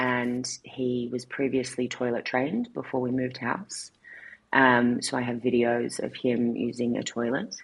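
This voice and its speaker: In an Australian accent, a woman speaks at a very deep, low pitch with monotone, flat intonation. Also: fairly slow pace. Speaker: marketing executive. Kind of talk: interview.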